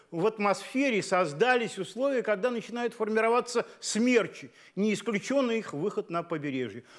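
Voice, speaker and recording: A man with a high-pitched voice at a fairly slow pace. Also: quiet background. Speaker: weather forecaster at hydrometeorological centre. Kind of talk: scripted expert forecast, explanatory, measured. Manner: calm, measured, technical. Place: studio. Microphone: lapel.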